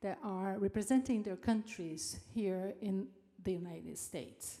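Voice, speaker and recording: Speaking at a fairly slow pace with a Brazilian accent, a woman has a dark, mellow tone and ordinary pitch variation. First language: Portuguese. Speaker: event host at a university. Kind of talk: formal speaker introduction.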